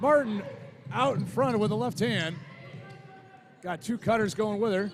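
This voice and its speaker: A man with an American accent speaks at a high pitch and moderate pace. His intonation is lively, with noticeable background noise behind him. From New York. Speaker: sports commentator. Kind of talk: live commentary; casual chat.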